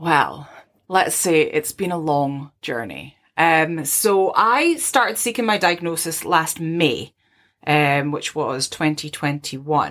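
A woman with a Scottish accent speaks at a very slow pace in a very deep, low pitch with ordinary pitch variation. The recording is very clean with a silent background. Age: 30s. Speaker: podcast co-host. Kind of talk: casual chat.

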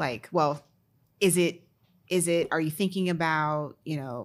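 Delivered at a moderate pace with fairly even intonation, a normal speaking voice comes through on a very clean recording with a silent background. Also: woman. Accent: American. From Maryland, DC area. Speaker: entrepreneur, content creator. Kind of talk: casual chat.

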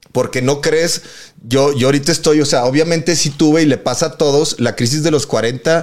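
With a Mexican accent, a man talks fairly quickly at a fairly high pitch with ordinary pitch variation. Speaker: podcast host. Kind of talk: casual chat. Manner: animated.

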